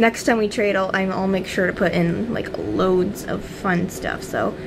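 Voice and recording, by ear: Over clear background noise, a woman with vocal fry talks at a moderate pace with fairly even intonation.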